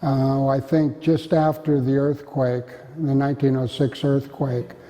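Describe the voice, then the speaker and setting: A fairly high-pitched man in a flat monotone at a fairly slow pace, with noticeable background noise. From US West, Marin County, California. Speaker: oral history interviewee. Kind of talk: oral history interview. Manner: halting.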